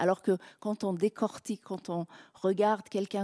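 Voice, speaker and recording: In a very clean recording with a silent background, a woman speaks with a dark, mellow tone and fairly even intonation. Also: dry, close sound with no echo. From Iran. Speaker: novelist and filmmaker. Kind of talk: public talk.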